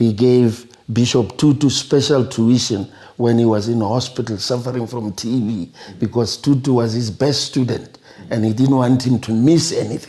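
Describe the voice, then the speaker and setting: Speaking with a South African accent, a man holds a medium pitch and fairly even intonation. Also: moderate pace. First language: Sepedi. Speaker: retired neurosurgeon. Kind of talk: interview, life story. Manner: halting, with repetitions.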